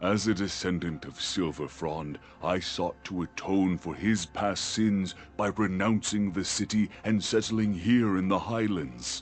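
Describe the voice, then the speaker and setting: A man puts on a character voice with a very deep, low pitch, delivered at a fairly slow pace. Clear background noise is present. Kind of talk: epic fantasy legend narration. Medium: video game. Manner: grave, measured.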